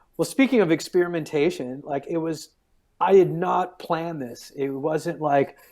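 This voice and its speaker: Using a plain, everyday voice, a man talks at a moderate pace. His pitch is fairly high, with ordinary pitch variation. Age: 40s. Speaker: stand-up comedian. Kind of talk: casual interview chat.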